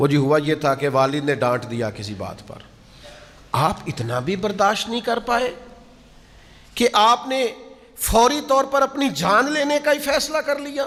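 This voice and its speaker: Noticeable background noise surrounds a man's voice. His pitch is extremely high and swings very widely. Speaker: Islamic preacher. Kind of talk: religious sermon (bayan). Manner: emotional, admonishing, preacher-like delivery.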